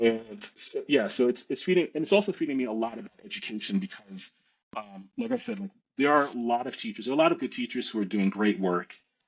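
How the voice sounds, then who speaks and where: A man with a New York accent talks at a very fast pace, his medium pitch making very wide swings. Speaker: teacher and education advocate. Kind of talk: podcast interview.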